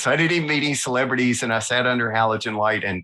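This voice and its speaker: With a Southern US accent, a man talks very fast in a bright, sharp tone with ordinary pitch variation. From US South, north Alabama. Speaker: illustrator. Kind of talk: interview, casual chat. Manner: animated.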